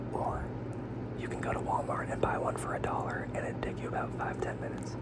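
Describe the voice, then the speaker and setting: A man whispers at a very fast pace. Noticeable background noise is present. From Utah, Salt Lake City. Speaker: ASMR creator. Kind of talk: ASMR whisper talk. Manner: whispered.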